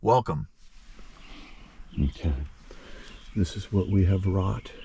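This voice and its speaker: Here a man talks at a very slow pace with a very deep, low pitch and ordinary pitch variation. His tone is dark and mellow, with vocal fry. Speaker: pool service technician. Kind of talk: vlog narration. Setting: in a car. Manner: soft-spoken.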